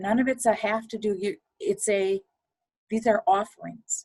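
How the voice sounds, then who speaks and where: With a dark, mellow tone, a woman speaks using ordinary pitch variation. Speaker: funeral home aftercare coordinator. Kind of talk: podcast interview. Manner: fast.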